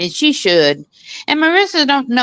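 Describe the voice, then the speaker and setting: A woman speaks in an animated tone. The background is quiet. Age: 60s. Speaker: commentary show co-host. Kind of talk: casual chat.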